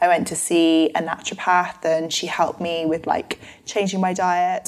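In a London accent, a woman speaks at a fairly slow pace with a fairly low pitch. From London, England. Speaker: nutritional therapist and author. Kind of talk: interview conversation.

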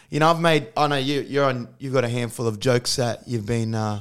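In an Australian accent, a man talks at a fairly quick pace and medium pitch with fairly even intonation. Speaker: comedian. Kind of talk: casual chat. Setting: video call.

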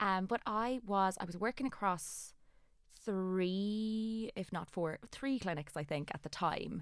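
Speaking fairly slowly in an Irish accent, a woman comes through in a very clean recording with a silent background. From Ireland. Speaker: aesthetic doctor and clinic owner. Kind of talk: interview.

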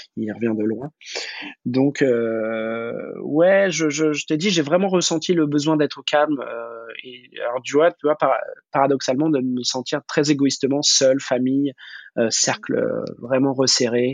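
With ordinary pitch variation, a man talks at a fairly slow pace and a fairly high pitch. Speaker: food business manager. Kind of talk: casual interview. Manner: halting, many repetitions and fillers.

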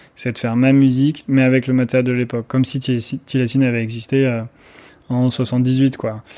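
The man's tone is dark and mellow at a medium pitch. He talks in a monotone, flat way against a quiet background. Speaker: electronic musician. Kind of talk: interview. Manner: hesitant, many fillers.

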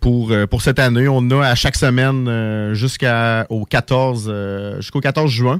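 A man speaks at a medium pitch and a very slow pace. His intonation stays fairly even. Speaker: poultry supply business owner. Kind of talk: radio interview.

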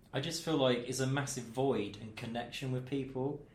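A man's somewhat breathy, medium-pitched voice with fairly even intonation and audible room echo. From Milton Keynes, England. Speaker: radio presenter and DJ. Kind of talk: casual chat. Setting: studio.

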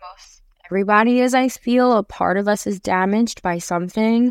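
Recorded dry and close with no echo on a very clean recording with a silent background, a woman uses an ordinary speaking voice with ordinary pitch variation. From New York City. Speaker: singer-songwriter and actress. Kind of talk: interview. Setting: podcast interview.

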